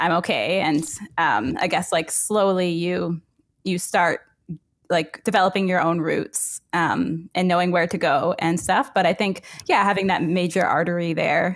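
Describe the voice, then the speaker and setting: In a Canadian accent, a woman with a fairly low pitch speaks at a moderate pace with fairly even intonation over a quiet background. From rural Ontario, Canada, north of Waterloo. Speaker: YouTube urbanism creator. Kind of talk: casual interview. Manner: hesitant, many fillers. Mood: friendly, smiling. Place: home room. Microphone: headset.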